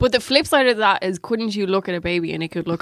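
A woman speaks with a Dublin accent, the sound dry and close with no echo. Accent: Irish, south Dublin. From Ireland, Dublin. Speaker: journalist. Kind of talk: casual chat.

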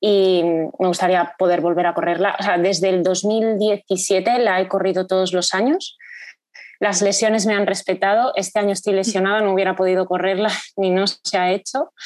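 A woman at medium pitch with fairly even intonation, very even loudness and a moderate pace. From Spain, Salamanca. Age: 30s. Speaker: amateur runner. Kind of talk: podcast interview. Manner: hesitant, many fillers.

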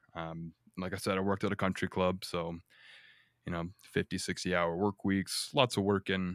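With an American accent, a man speaks at a moderate pace with very deep, low pitch, fairly even intonation and a bright, sharp tone. The sound is dry and close with no echo, on a very clean recording with a silent background. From Northwest Indiana. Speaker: cook. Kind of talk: casual chat.

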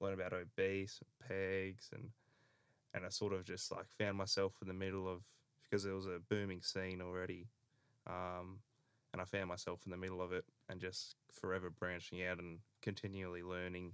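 On a very clean recording with a silent background, a man with an Australian accent speaks at a moderate pace in a very deep, low monotone with flat intonation. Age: 20s. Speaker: podcast host. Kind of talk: casual chat.

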